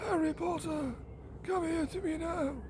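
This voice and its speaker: A put-on character voice speaks over loud background noise. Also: moderate pace. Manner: menacing summoning.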